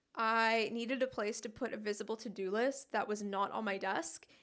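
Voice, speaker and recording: A woman's animated tone with ordinary pitch variation. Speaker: interior designer. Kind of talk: casual vlog tour. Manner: chatty, animated.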